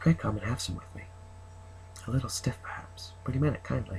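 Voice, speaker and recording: A man speaks softly and at a very fast pace, with a somewhat breathy voice. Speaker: ASMR creator. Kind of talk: reading aloud. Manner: soft-spoken.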